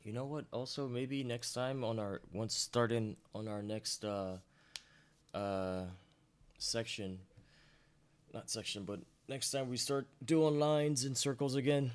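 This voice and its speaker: A man's medium-pitched voice at a fairly slow pace, with long, frequent pauses and ordinary pitch variation. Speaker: art teacher. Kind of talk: tutorial. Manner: casual.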